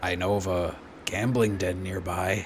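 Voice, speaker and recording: In a put-on character voice, a man speaks very deep and low, raspy and monotone with flat intonation, at a moderate pace over clear background noise. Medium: actual play. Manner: curt, short sentences.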